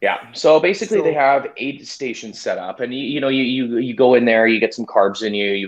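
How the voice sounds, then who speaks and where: Delivery is very fast with hardly any pauses. The speaker has a Canadian accent. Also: man. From Winnipeg, Manitoba, Canada. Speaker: amateur ultramarathon runner. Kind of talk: casual interview. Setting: live stream.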